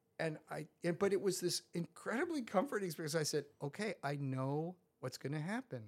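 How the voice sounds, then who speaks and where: A man with an American accent speaks at a fairly quick pace in a high voice, his intonation lively. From New York suburbs, US. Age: 60s. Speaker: professor and person in recovery.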